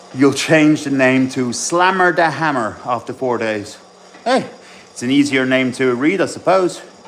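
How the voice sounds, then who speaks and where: Noticeable background noise sits behind a man's voice. He talks at a fairly slow pace with a medium pitch and ordinary pitch variation. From mixed: English father, Swiss mother, school in Ireland. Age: 30s. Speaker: bodybuilding coach. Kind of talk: casual live stream chat during training.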